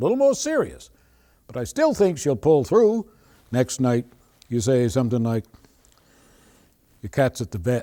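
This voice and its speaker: A man with a Maine accent talks at a moderate pace, leaving long, frequent pauses. The sound is dry and close, with no echo. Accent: Maine Yankee. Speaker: storyteller, humorist. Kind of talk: humorous folk story telling.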